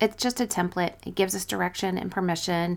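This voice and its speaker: Over a silent background in a very clean recording, a woman uses a plain, everyday voice at medium pitch with fairly even intonation. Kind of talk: fervent prayer, spoken aloud to God in first person; devotional teaching, scripted intro. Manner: earnest, heartfelt, reverent; warm, encouraging.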